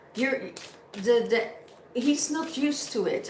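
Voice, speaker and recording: A woman with a non-native accent speaks with ordinary pitch variation, amid noticeable background noise and audible room echo. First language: not English. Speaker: tarot reader. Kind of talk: spiritual reading. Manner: halting.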